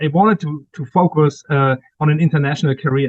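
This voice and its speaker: With a German accent, a man speaks at a fairly high pitch with ordinary pitch variation. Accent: German accent, lasting. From Germany. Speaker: cyber security executive and author. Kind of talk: interview.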